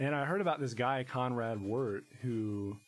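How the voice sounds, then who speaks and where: An unremarkable speaking voice with an American accent, at a moderate pace with ordinary pitch variation. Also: man. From Virginia, Shenandoah Valley (Harrisonburg). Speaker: musician. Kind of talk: casual interview.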